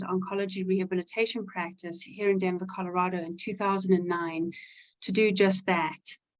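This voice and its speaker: Medium-pitched woman's voice with a South African accent. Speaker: physical therapist. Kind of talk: webinar self-introduction.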